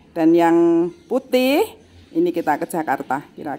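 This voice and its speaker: A woman speaking at a very slow pace. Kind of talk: casual vlog chat. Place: workshop. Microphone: phone near.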